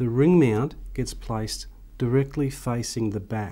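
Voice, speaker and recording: In a dark, mellow tone, the man delivers his words at a fairly slow pace. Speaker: presenter. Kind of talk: tutorial. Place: studio.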